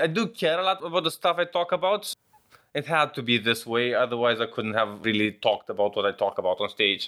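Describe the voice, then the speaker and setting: Talking at a fairly quick pace in a Romanian accent, a man uses a fairly high pitch with very wide pitch swings. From Romania, Vaslui. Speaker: stand-up comedian. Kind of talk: interview. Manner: laid-back, slightly cynical.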